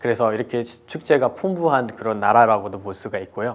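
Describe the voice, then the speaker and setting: Speaking moderately fast, this man's medium-pitched voice shows ordinary pitch variation. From Nepal. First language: Nepali or another Nepalese mother tongue (speaking Korean). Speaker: lecturer on cultural diversity. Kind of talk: lecture. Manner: halting, with many fillers.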